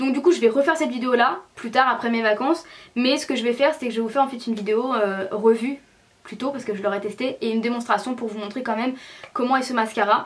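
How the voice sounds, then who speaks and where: A woman with a high voice talks at a very fast pace, her pitch varying in an ordinary way. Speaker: beauty vlogger. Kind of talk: casual vlog. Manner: animated.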